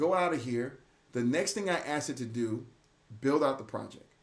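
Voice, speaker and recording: Vocal fry runs through this man's speech. His pitch rises and falls in an ordinary way. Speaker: AI practitioner sharing workflow. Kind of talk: screen-share tutorial. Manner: fast; casual, conversational.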